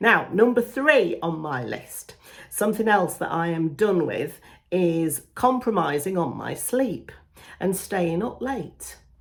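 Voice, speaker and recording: A woman speaks fairly slowly at a medium pitch, with lively intonation and a plain, everyday voice. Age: 40s. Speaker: beauty YouTuber. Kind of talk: casual talk to camera.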